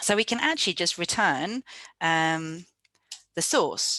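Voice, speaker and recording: A woman with an English accent, medium pitch and a bright, sharp tone, lively intonation at a moderate pace, in a dry, close sound with no echo over a quiet background. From England. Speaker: software developer and conference speaker. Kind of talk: live coding presentation. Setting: virtual meetup video session.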